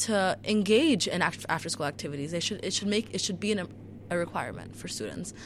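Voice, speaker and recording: A woman's voice shows vocal fry along with ordinary pitch variation. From US, Chicago. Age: 18. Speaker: school board candidate. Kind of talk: radio interview. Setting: studio.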